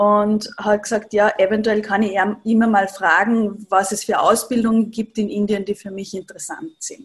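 A woman with a fairly high, somewhat breathy voice talks at a moderate pace. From Upper Austria. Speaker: Ayurveda practitioner, yoga teacher. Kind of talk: interview, personal story.

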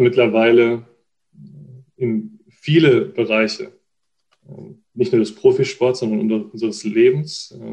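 Very slowly and with long, frequent pauses, a man speaks at a medium pitch with lively intonation. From Baden, near Freiburg (southwest Germany). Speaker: football data analyst. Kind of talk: interview. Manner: hesitant, many fillers.

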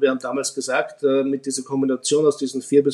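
His tone dark and mellow, a man speaks at a fairly high pitch with fairly even intonation. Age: 50s. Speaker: fund manager. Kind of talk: expert interview on investing.

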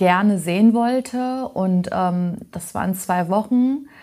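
A somewhat breathy woman with a dark, mellow tone, medium pitch and ordinary pitch variation, on a very clean recording with a silent background. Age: 30s. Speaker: trainee in healthcare administration. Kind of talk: casual interview.

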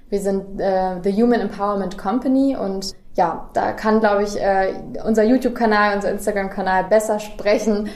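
A woman's medium-pitched, monotone, flat delivery amid audible room echo and noticeable background noise. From Germany, Göttingen area. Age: 20s. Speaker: recruiter. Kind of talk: interview. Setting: on-site at company, noisy venue nearby.

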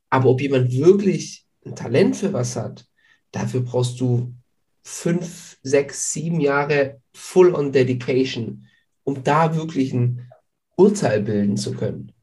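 Very slowly, a man of medium pitch speaks with a dark, mellow, somewhat breathy tone and ordinary pitch variation, with audible room echo. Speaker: podcast host. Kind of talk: casual interview.

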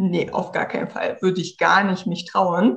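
At a moderate pace, a woman speaks at a medium pitch in a somewhat breathy voice. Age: 30s. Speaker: tech consultant for entrepreneurs. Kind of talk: interview. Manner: casual.

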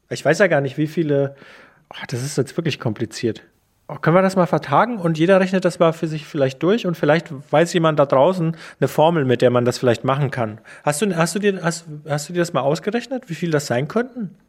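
Against a very clean recording with a silent background, a man speaks at a fairly quick pace in a plain, everyday voice with lively intonation. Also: fairly high pitch for a man. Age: 40s. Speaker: radio journalist, podcast co-host. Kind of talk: casual chat.

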